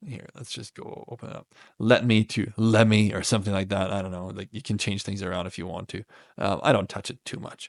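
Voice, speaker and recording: Over a quiet background, a man speaks at a fairly quick pace with fairly even intonation and a dry, close sound with no echo. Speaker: tech tutorial creator. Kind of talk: screen-share software tutorial. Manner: fast; casual with many fillers.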